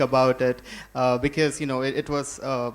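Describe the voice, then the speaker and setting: Speaking in a Bengali accent, a man with a fairly high voice keeps a moderate pace and a monotone, flat intonation. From India. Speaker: software engineer. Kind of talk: panel introduction.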